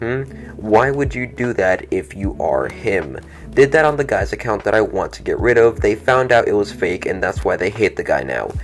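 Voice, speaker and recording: Male speech at a middling pace amid clear background noise. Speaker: commentary youtuber. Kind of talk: reading out chat screenshots with commentary. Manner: stuttering while reading.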